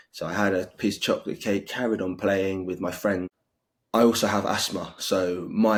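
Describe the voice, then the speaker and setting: A man with a British accent talks at a moderate pace in a very deep, low pitch and a monotone, flat delivery. The recording is very clean, with a silent background. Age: 20s. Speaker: interviewee with severe food allergies. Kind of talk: interview testimony. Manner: halting.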